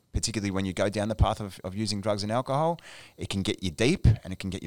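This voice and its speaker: Someone with an Australian accent talks at a very fast pace on a very clean recording with a silent background. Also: man. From Australia, Melbourne. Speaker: addiction clinical services manager. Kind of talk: casual chat.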